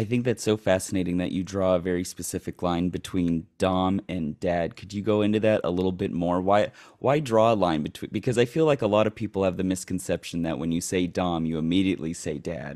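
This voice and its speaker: With a very deep, low pitch and ordinary pitch variation, a man speaks fairly quickly with hardly any pauses on a very clean recording with a silent background. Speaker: podcast host. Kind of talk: casual interview podcast. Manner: playful, upbeat.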